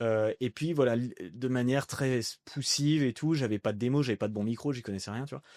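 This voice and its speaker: A man talks at a fairly quick pace with a medium pitch and ordinary pitch variation. The sound is dry and close with no echo, over a quiet background. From France, Annecy. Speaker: voice-over artist and entrepreneur. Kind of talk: casual podcast interview. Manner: animated.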